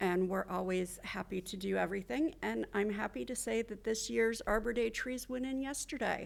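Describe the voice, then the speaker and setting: Her fairly high voice has lively intonation. The woman keeps a moderate pace with hardly any pauses. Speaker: tree program coordinator. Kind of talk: public remarks at council meeting. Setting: city hall chambers. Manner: loud.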